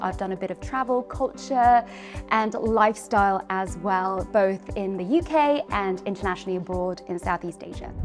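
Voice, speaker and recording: Over music in the background, a woman talks at a fairly quick pace in a medium pitch. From Philippines. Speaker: TV presenter, journalist and voiceover artist. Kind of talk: interviewing and presenting segments.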